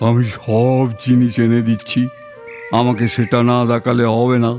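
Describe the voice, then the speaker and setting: A man puts on a character voice at a medium pitch, flat and monotone. He goes at a fairly slow pace while clear music plays in the background. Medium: audio drama.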